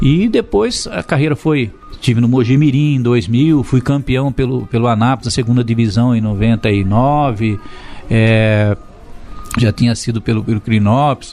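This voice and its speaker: With music in the background, a man talks at a moderate pace and very even loudness. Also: medium pitch for a man, ordinary pitch variation. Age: 60s. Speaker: retired footballer and football coach. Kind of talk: interview. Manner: fluent, articulate.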